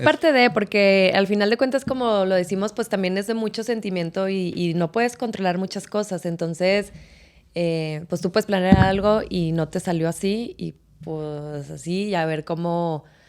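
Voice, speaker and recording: A woman's medium-pitched voice at a moderate pace, with ordinary pitch variation, over noticeable background noise. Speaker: stadium announcer and marketer. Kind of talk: podcast interview answer.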